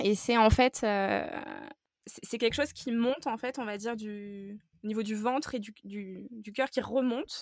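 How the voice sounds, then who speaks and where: Using a normal speaking voice, a woman talks at a fairly slow pace and fairly high pitch, with fairly even intonation and big swings in loudness. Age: 20s. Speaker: natural health advisor. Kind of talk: interview.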